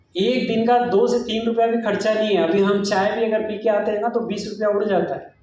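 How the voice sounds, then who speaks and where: A man's high-pitched voice carries audible room echo. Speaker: network marketing speaker. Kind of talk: motivational business talk. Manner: animated.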